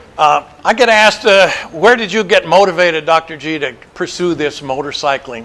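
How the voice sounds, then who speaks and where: Speaking at a moderate pace with hardly any pauses, a man uses a high voice and lively intonation. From Montana. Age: 70s. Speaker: motorcycle adventurer and author. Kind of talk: presentation to an audience. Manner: casual, hesitant with fillers.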